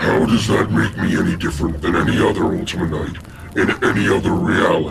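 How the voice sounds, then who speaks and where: A man puts on a character voice at a very deep, low pitch, talking fairly quickly with a slight echo and clear background noise. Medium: machinima. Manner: blunt, impatient.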